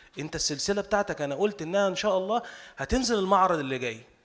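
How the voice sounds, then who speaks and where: This man talks with lively intonation. His pace is fairly quick. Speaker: novelist. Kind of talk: speech at cultural salon. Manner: halting.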